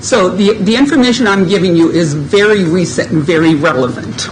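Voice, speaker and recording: Woman at a medium pitch, moderate pace and lively intonation, amid noticeable background noise and audible room echo. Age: 70s. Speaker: resident speaker. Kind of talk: public comment. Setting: public meeting.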